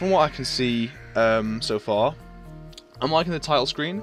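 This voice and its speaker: Music can be heard behind the speaker. He is a man whose intonation is lively. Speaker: game reviewer. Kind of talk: casual let's-play commentary.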